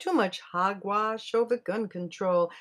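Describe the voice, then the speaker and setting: This is a woman speaking at medium pitch. The recording is very clean, with a silent background. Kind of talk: spoken word poem performed as protest poetry. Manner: defiant, sharply ironic, building in intensity; angry, pointed, emphatic.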